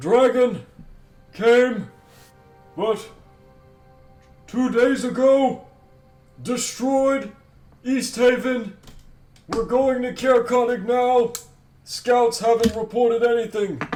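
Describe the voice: A put-on character voice at a very slow pace, with long, frequent pauses, fairly even intonation, and faint background music. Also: man, extremely high pitch for a man.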